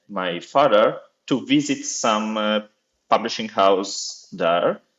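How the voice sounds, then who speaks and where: A man with an Italian accent at a very slow pace. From Italy. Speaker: accessibility officer at a publishing foundation. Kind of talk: podcast interview. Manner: halting, many fillers.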